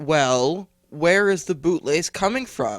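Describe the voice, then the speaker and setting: A man in a put-on character voice, fairly high-pitched, at a fairly slow pace. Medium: read story. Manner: firm, formal.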